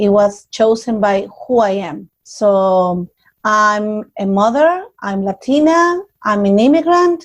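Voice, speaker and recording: A woman with a Spanish accent speaks very slowly in a fairly high pitch, her voice swinging very widely up and down. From Mexico, Nuevo Laredo. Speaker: community organizer. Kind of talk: interview.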